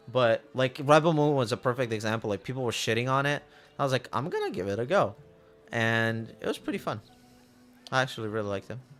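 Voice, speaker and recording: A man at a very fast pace and medium pitch, with ordinary pitch variation and music in the background. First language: not English. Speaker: gaming streamer. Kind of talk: casual chat.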